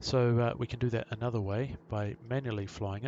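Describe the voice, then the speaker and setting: A man with a New Zealand accent speaks at a medium pitch with fairly even intonation. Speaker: pilot and flight sim tutorial maker. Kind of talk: tutorial. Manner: fast.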